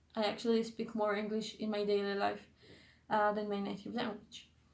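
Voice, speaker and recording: A woman talks with a fairly high pitch, and noticeable echo from the room can be heard around her. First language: not English. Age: 20s. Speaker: YouTuber / vlogger. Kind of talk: casual vlog monologue. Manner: halting, many fillers and self-corrections.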